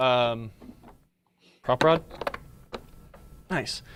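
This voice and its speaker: Pitch varies in an ordinary way as this man talks. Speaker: pinball technician. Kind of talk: live stream tutorial. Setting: live stream. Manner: fast.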